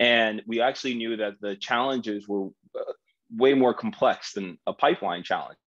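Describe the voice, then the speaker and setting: Here is an unremarkable speaking voice from a man with an American accent. He speaks at a moderate pace and medium pitch, with ordinary pitch variation. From New Jersey, US. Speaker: startup founder and CEO. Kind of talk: interview conversation.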